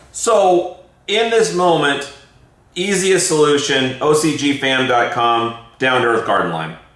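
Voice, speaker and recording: Through audible room echo and noticeable background noise, a man speaks at a fairly high pitch with very wide pitch swings. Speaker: gardening show host. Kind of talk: casual chat. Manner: fast.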